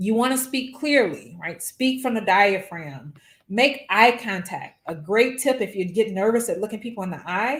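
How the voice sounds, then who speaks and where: A woman talks in a New Orleans accent at a fairly high pitch with lively intonation. Her voice is somewhat breathy, with big swings in loudness. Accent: New Orleans drawl. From New Orleans, US South. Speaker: physics professor. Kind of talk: workshop lecture.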